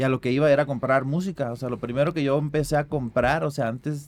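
A fairly quick delivery in an unremarkable speaking voice. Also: man. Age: 30s. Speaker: rapper and beatmaker. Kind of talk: casual chat.

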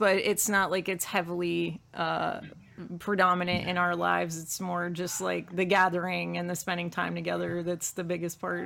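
At a moderate pace, an ordinary speaking voice shows ordinary pitch variation. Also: woman. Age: 40s. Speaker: toy collector and artist. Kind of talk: casual chat.

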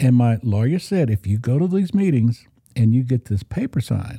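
A man with an American accent speaks at a medium pitch, somewhat breathy, with a dark, mellow tone, lively intonation, and a dry, close sound with no echo. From Oklahoma. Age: 60s. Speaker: church guitarist and recovering alcoholic. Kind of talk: personal testimony interview.

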